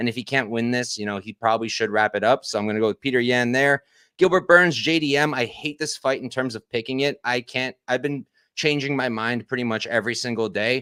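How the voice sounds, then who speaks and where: A man talks at a fairly quick pace in a bright, sharp tone, with a medium pitch and ordinary pitch variation. The recording is very clean, with a silent background, and sounds dry and close with no echo. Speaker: MMA betting analyst. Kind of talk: casual fight breakdown on livestream. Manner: fast.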